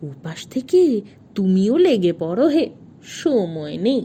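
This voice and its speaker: A woman speaks in a put-on character voice at a medium pitch. Her pitch swings very widely, and her pace is very slow. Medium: read story. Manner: unflappable, terse, folksy.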